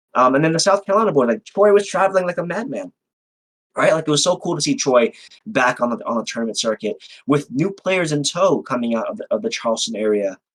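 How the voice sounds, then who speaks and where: With an American accent, a man talks loud and very fast in an animated tone, his high pitch making very wide swings. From New York City (Manhattan). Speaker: fighting game tournament organizer. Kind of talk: interview.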